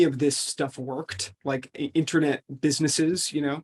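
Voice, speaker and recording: There is a man here with a fairly high pitch and an American accent. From US, upstate New York. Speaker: venture capital investor. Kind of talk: interview. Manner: halting, many fillers and restarts.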